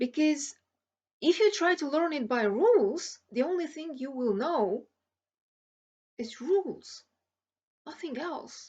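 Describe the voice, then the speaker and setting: Very slowly, a woman speaks at a high pitch with very wide pitch swings, big swings in loudness and long, frequent pauses. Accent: non-native. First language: not English. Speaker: language learning vlogger. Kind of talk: tutorial. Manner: hesitant with fillers.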